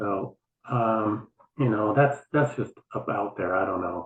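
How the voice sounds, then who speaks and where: With an unremarkable speaking voice, a man talks at a fairly low pitch and with ordinary pitch variation. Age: 60s. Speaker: Instagram account owner posting Mars rover photos. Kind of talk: casual chat.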